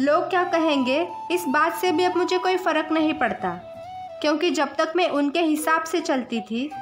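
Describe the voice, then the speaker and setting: With music in the background, a woman speaks at a high pitch and very even loudness. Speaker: poet. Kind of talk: poetry reading.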